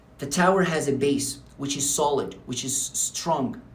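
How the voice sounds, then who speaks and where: Audible room echo surrounds a man whose fairly high pitch shows ordinary variation. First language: Arabic. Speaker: English teacher. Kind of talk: unscripted tutorial to camera. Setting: talking to camera. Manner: filler-heavy with hesitations.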